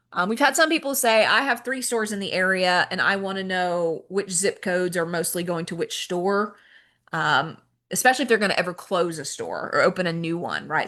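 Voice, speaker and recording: The woman talks at a fairly quick pace in a medium-pitched voice with a bright, sharp tone. Her pitch varies in an ordinary way over a quiet background. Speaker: software trainer. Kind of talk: training webinar. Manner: fast.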